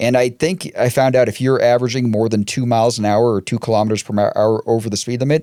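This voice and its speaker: Talking very fast with a Boston accent, a man with a medium-pitched, dark, mellow voice keeps his intonation fairly even on a very clean recording with a silent background. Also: hardly any pauses. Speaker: podcast co-host. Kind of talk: casual chat.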